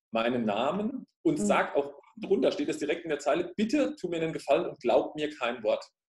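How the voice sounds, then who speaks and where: A man talks at a moderate pace with audible room echo over a quiet background. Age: 30s. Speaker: fitness studio owner and life coach; life coach. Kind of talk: interview. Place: home room. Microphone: webcam.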